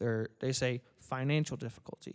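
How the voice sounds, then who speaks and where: Recorded very cleanly with a silent background and a dry, close sound with no echo, a normal speaking voice moves at a moderate pace with fairly even intonation. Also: man. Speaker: podcast host. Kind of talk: casual chat.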